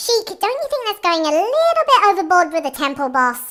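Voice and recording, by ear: A woman's put-on character voice, extremely high-pitched and fairly bright in tone, with big pitch swings at a moderate pace.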